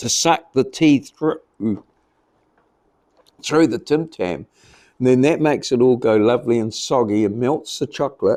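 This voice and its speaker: Medium-pitched male voice with a New Zealand accent, dark and mellow in tone, ordinary pitch variation, moderate pace, long and frequent pauses, on a very clean recording with a silent background. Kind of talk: casual talk to camera. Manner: rambling, relaxed.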